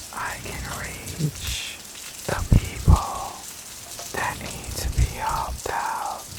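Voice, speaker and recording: A gentle, very slow whisper amid noticeable background noise. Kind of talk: ASMR whispered talk to camera. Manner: soft, gentle, whispered.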